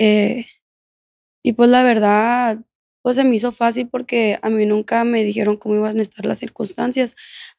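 The delivery is monotone and flat at a moderate pace. The sound is dry with no echo, and the background is quiet. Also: woman. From Mexico, Culiacán, Sinaloa; Sinaloa, Mexico. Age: 20s. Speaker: former prisoner telling her story; podcast guest. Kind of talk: interview testimony. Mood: calm, reflective personal account. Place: studio. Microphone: studio mic.

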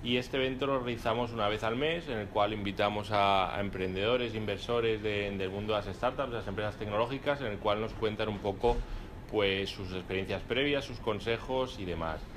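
With noticeable background noise behind him, a man speaks at a fairly quick pace with a fairly low pitch and ordinary pitch variation. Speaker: event host and interviewer at a law firm; event host, interviewer. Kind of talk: live event moderation and interview. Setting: room with live audience, no microphone. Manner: halting with repetitions. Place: hall. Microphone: speaking without microphone; camera far.

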